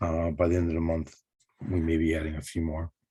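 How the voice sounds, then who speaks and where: On a very clean recording with a silent background, a man with a very deep, low pitch and a dark, mellow tone speaks at a moderate pace. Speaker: state agency invasive species staff. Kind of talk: meeting update. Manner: halting with many fillers.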